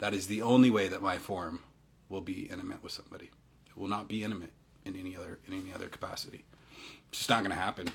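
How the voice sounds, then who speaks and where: Speaking very fast but with long, frequent pauses, a man with a fairly low pitch keeps a monotone, flat intonation while his loudness swings widely. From Utah. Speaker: Human Design teacher and livestream host. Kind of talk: casual livestream chat answering viewer comments. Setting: Instagram live from home. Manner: halting, many repetitions and fillers.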